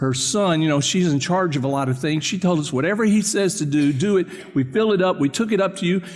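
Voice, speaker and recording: A man talks at a fairly quick pace and a high pitch with ordinary variation, amid audible room echo and noticeable background noise. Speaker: pastor. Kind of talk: sermon. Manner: fast.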